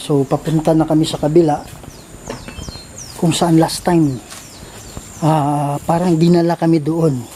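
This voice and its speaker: A man with a fairly high voice speaks in a flat monotone, leaving long, frequent pauses over noticeable background noise. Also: moderate pace. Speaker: ghost hunter vlogger. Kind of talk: vlog narration on location.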